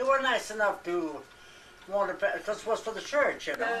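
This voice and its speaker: Noticeable background noise and audible room echo surround a voice with lively intonation. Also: woman. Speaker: elderly relative interviewed about family history. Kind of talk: casual family reminiscence. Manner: halting.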